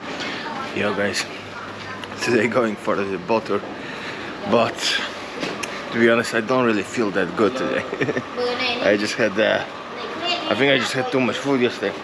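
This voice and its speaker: A man speaks with long, frequent pauses. Background noise is noticeable. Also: moderate pace. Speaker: travel vlogger. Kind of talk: casual vlog chat. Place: street. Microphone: phone near.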